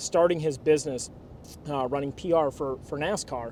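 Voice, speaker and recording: His pitch is fairly high, and it varies in an ordinary way. The man keeps a moderate pace. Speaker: car detailing business owner. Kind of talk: casual vlog narration. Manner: animated.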